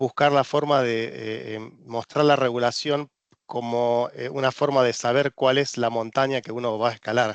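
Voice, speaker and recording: A man's medium-pitched voice in an Argentine accent, monotone and flat, with a dry, close sound, no echo and a quiet background. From Argentina. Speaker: regulatory consultant. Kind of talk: presentation. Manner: hesitant, many fillers.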